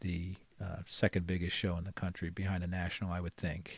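A man with an American accent speaks at a fairly quick pace. His pitch is very deep and low. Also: very clean recording, silent background. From Philadelphia, US. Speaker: card collector and card show organizer. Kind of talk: casual interview chat.

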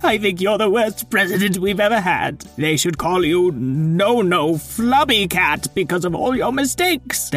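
A man puts on a high-pitched character voice with a pompous tone. He keeps a moderate pace with hardly any pauses. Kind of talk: children's story comic voice. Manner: flustered, huffy, pompous.

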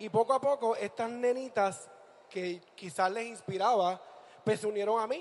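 A man with a high pitch and ordinary pitch variation talks at a moderate pace. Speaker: drag performer. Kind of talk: onstage interview.

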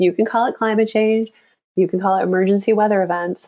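With an American accent, a woman talks at a moderate pace in a medium pitch with fairly even intonation, on a very clean recording with a silent background. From US Midwest, Michigan. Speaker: sheep shearer and author. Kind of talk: interview.

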